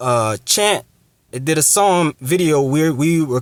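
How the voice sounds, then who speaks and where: Recorded dry and close with no echo, a man with a fairly high pitch speaks with lively intonation. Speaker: religious teacher. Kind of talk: testimony and scripture lesson. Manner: slow; halting.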